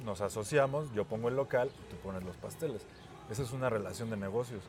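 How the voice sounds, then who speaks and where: Over noticeable background noise, a man with a Mexican accent talks at a moderate pace with ordinary pitch variation. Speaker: podcast co-host. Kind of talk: casual chat.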